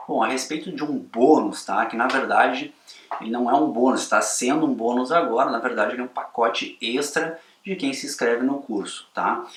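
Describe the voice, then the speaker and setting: Spoken at a moderate pace with ordinary pitch variation, the voice comes through noticeable background noise. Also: man, fairly high pitch for a man. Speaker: photography course instructor. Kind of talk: sales pitch.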